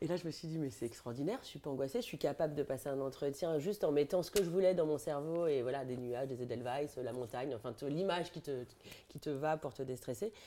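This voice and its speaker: Pauses barely occur. The delivery is very fast. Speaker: journalist and humorist. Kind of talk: casual chat.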